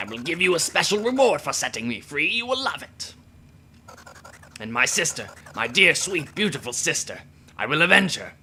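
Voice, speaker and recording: Putting on a character voice, a man speaks in a high pitch with very wide pitch swings and long, frequent pauses. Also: moderate pace. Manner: sweetly menacing.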